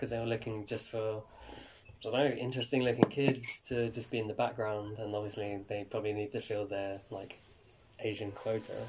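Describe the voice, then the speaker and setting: In a London accent, a man talks at a fairly quick pace with monotone, flat intonation in a medium pitch. Noticeable background noise runs behind him. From West London, England. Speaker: actor. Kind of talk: interview. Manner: halting.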